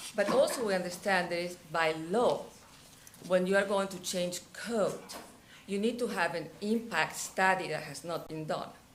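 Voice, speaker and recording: A woman speaks at a medium pitch and moderate pace with fairly even intonation, but her loudness swings a lot. Audible room echo surrounds her voice. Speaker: resident speaking at public comment. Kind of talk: public comment at council meeting.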